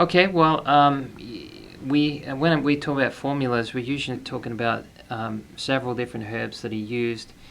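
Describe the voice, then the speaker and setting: In an Australian accent, a man speaks at a moderate pace. His pitch is medium, with ordinary pitch variation. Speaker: herbalist. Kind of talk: interview. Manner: halting, many fillers.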